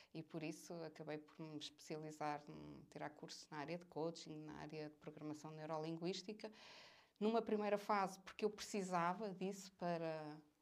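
A woman with an unremarkable speaking voice talks at a moderate pace and fairly low pitch, her intonation fairly even and her loudness showing big swings. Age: 40s. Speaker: business executive. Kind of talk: interview.

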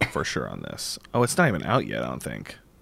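A man speaks with vocal fry. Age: 30s. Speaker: VR podcast host. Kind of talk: casual chat.

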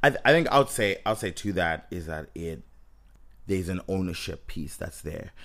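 Against a silent background on a very clean recording, a man with a Zimbabwean accent speaks at a fairly quick pace in a very deep, low voice with lively intonation. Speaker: podcast co-host. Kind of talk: casual podcast chat about a movie.

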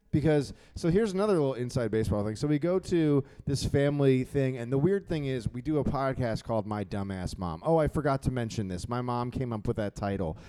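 A man talks at a very fast pace in a medium pitch, his tone dark and mellow and his intonation lively. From Philadelphia. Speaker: comedian. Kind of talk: casual chat. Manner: sarcastic, joking.

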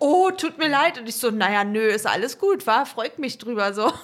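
A woman's fairly high voice at a moderate pace, an ordinary speaking voice with lively intonation. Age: 20s. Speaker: podcast co-host. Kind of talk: casual chat.

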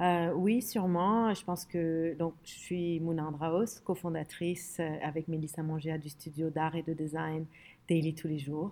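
A woman's dark, mellow tone sits at a fairly low pitch, with fairly even intonation and a fairly slow pace. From Lebanon (Beirut), later Middle East and France. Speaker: design studio co-founder. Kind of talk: interview.

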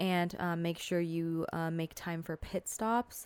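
Recorded very cleanly with a silent background and a dry, close sound with no echo, a woman speaks at medium pitch in an American accent. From Southern California. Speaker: podcaster. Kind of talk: casual monologue. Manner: filler-heavy, casual.

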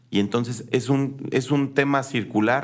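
This man talks in a flat, monotone way. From Querétaro, Mexico. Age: 40s. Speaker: political candidate. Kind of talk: interview.

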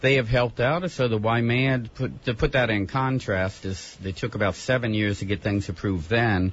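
A man with a somewhat breathy, medium-pitched voice shows ordinary pitch variation. His pace is moderate, with hardly any pauses. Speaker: housing nonprofit executive director. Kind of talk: radio panel discussion. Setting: studio.

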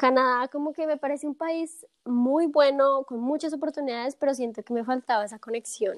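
A woman talks at a moderate pace in a high voice with ordinary pitch variation, hardly pausing, in a dry, close sound with no echo. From Colombia, Bogotá. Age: 20s. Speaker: podcast guest. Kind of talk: casual interview.

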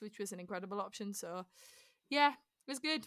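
In a Teesside accent, a woman speaks in an animated tone on a very clean recording with a silent background. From northern England, Middlesbrough. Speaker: musical theatre performer. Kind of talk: interview. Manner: animated, laughing often.

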